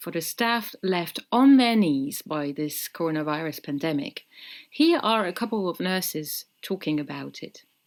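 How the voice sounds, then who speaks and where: A woman with a French accent speaks at a moderate pace and fairly low pitch with lively intonation, on a very clean recording with a silent background. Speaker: podcast host. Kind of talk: scripted narration; casual chat.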